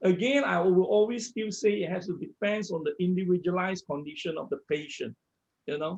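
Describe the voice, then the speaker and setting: Speaking fairly quickly, a man uses a high pitch that varies in an ordinary way. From Malaysia. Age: 60s. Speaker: medical researcher. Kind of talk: interview.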